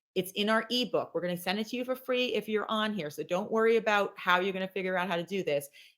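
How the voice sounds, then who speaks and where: A woman talking at a very fast pace with hardly any pauses. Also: medium pitch for a woman, ordinary pitch variation. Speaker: company president and webinar presenter. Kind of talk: webinar presentation. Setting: online webinar. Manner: animated.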